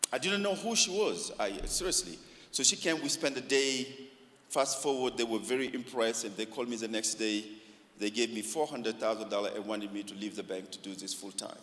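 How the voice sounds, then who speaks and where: A man speaks at medium pitch and a fairly quick pace, with lively intonation. Noticeable background noise runs underneath. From Africa. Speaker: community organization founder. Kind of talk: talk to church forum.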